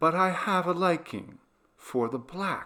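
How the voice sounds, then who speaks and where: In a put-on character voice, a soft-spoken man talks with a high pitch at a fairly slow pace. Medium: read story. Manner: quiet, menacing.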